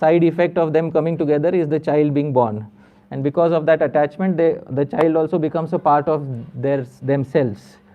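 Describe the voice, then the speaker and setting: A man with a fairly high pitch keeps his delivery at a moderate pace. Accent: Marathi. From western India, Maharashtra. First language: Marathi. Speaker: spiritual teacher. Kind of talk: religious lecture with Q&A.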